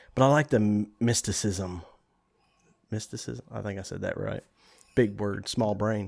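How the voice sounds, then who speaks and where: This man has a Southern US accent and talks at a moderate pace. His pitch varies in an ordinary way, broken by long, frequent pauses. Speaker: podcast host. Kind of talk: casual chat.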